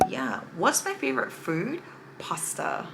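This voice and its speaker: Animated in tone, a woman with an American accent speaks with a fairly low pitch. Her pace is fairly slow. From California. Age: 20s. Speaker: beauty vlogger. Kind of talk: casual makeup tutorial chat.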